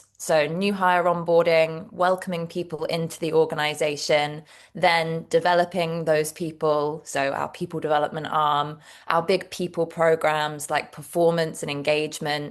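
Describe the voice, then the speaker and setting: Her voice is very deep and low, with a flat, monotone delivery. This woman keeps a moderate pace against a quiet background. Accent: British. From England, Devon. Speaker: HR director. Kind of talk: interview.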